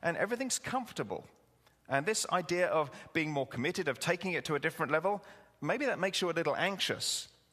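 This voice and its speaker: A man's bright, sharp tone with lively intonation at a very fast pace. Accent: English. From England. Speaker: pastor. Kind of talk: sermon. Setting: church with congregation. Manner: conversational, humorous.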